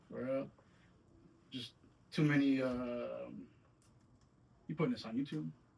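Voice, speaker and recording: A man with an American accent at medium pitch, lively intonation, fairly slow pace and long, frequent pauses. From Saginaw, Michigan (from age 7, born New York). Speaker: musician. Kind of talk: casual interview.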